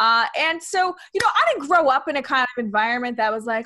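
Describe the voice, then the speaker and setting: Over a quiet background, a woman speaks in a raised, projected voice at a high pitch. Her pace is very fast and her intonation lively. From New York City. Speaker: comedian and author. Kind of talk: interview chat. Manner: animated, versatile with voices. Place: home room. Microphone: webcam.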